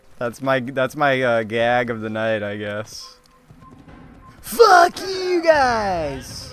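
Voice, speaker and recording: Over noticeable background noise, a man speaks at a very slow pace with big swings in loudness. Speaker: livestreamer. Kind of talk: casual chat. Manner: halting.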